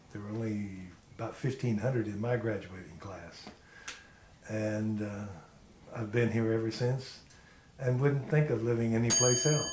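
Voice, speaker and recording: Amid noticeable background noise and audible room echo, a man with an American accent speaks at a moderate pace and medium pitch, with fairly even intonation and long, frequent pauses. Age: 60s. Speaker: retired apparel worker interviewee. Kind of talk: oral history interview.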